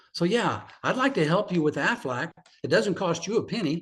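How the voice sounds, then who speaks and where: A man's high-pitched voice with very wide pitch swings, over a quiet background. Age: 70s. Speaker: insurance sales agent. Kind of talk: motivational talk to sales team. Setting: group meeting. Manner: animated.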